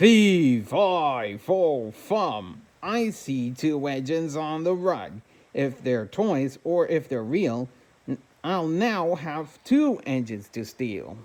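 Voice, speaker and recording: In a put-on character voice, the speaker booms at a middle pitch and a very slow pace. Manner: booming.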